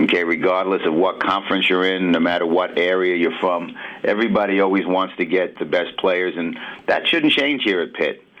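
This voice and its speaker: Speaking at a fairly quick pace with a New York accent, a man uses a very deep, low pitch, ordinary pitch variation and very even loudness. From New York City. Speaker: basketball assistant coach. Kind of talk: sports radio interview. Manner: halting, many fillers.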